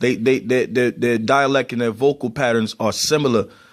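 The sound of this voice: A man with a Baltimore accent, medium pitch and ordinary pitch variation, on a very clean recording with a silent background.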